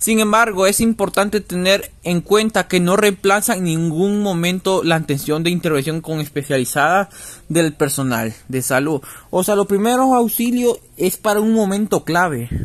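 Lively intonation marks this man's high-pitched voice. He keeps a moderate pace. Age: 20s. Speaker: physical education student. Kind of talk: student podcast presentation. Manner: halting, with many fillers.

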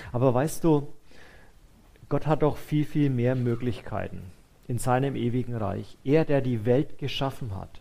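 Warm tone from a man at a medium pitch, fairly slow in pace with long, frequent pauses and ordinary pitch variation. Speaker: preacher. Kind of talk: sermon. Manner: warm, conversational and earnest, with a comforting tone; pastoral, unhurried, addressing listeners directly as "du".

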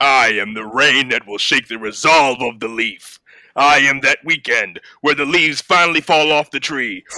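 Over a very clean recording with a silent background, a man does a put-on character voice at a fairly high pitch and moderate pace. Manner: villainous, grand, poetic.

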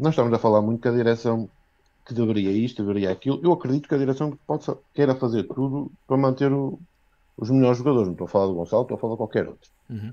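The voice has a dark, mellow tone and ordinary pitch variation. Words come at a very fast pace over a quiet background. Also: man, medium pitch for a man. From Viana do Castelo, northern Portugal. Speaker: football fan caller. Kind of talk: fan call-in opinion. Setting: video call.

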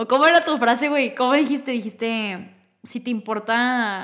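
A woman with an animated tone, fairly high pitch and ordinary pitch variation, at a moderate pace, in a very clean recording with a silent background. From northern Mexico, Torreón. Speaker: podcast host. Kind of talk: casual chat.

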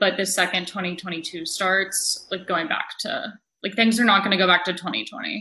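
In a normal speaking voice, a woman talks at a moderate pace and medium pitch with fairly even intonation. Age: 20s. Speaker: astrologer. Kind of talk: casual interview.

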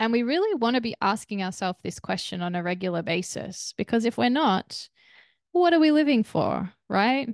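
In a quiet background with a dry, close sound and no echo, a woman speaks with a gentle, warm tone at a fairly high pitch, her pitch swinging very widely. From Australia. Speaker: meditation guide and podcast host. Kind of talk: guided meditation. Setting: solo recording. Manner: calm, slow, soothing; gentle, warm, nurturing.

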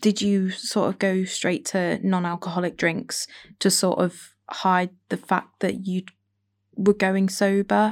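With long, frequent pauses, a woman speaks at a fairly slow pace and medium pitch in a monotone, flat intonation. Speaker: student podcast host. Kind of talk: interview.

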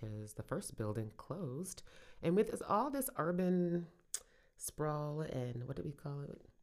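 A woman's very deep, low voice in an American accent, fairly slow, with very wide pitch swings. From Brooklyn, New York. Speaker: podcast co-host, small business owner. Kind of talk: casual chat. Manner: laughs often.

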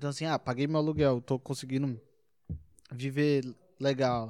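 A man speaks at a medium pitch in a dark, mellow tone with monotone, flat intonation. The pace is moderate, and the recording is very clean with a silent background. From Brasília, Brazil. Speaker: stand-up comedian. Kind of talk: casual interview chat.

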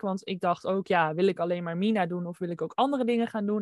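A woman speaks in an unremarkable speaking voice. The sound is dry and close, with no echo. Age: 20s. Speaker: designer and entrepreneur. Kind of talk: interview. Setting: video call.

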